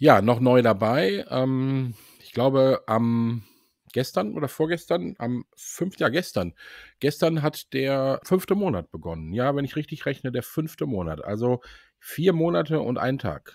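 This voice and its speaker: A man speaks at a fairly slow pace and medium pitch, with very wide pitch swings and big swings in loudness, the sound dry and close with no echo. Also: very clean recording, silent background. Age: 60s. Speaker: sales employee. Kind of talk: casual interview.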